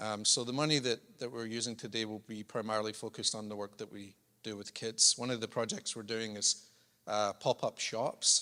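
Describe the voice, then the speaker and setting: In a Scottish accent, a man speaks at a fairly quick pace with a medium pitch, a bright, sharp tone and monotone, flat intonation, on a very clean recording with a silent background. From Scotland. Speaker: charity chief executive, former pastor. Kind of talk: speech to church congregation. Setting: church service.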